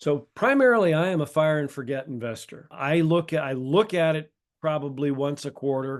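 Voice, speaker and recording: With a quiet background, a normal speaking voice moves at a moderate pace with ordinary pitch variation. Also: man, fairly high pitch for a man. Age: 60s. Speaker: real estate developer and professor. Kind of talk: interview.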